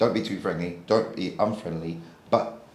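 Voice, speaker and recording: Audible room echo surrounds a man speaking in a British accent with ordinary pitch variation. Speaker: property lettings trainer. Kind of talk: feedback session.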